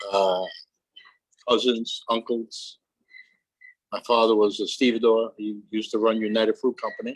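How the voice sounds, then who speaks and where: Heard in a dry, close sound with no echo, a man talks at a moderate pace with long, frequent pauses. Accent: New York. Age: 70s. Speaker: retired longshoreman. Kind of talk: oral history interview. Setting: aboard a barge with small audience.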